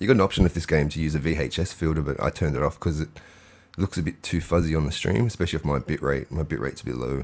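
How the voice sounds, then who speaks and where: A man's very deep, low voice with vocal fry, ordinary pitch variation and a very fast pace. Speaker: game streamer. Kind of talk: live gameplay commentary. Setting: live stream. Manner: casual, meandering.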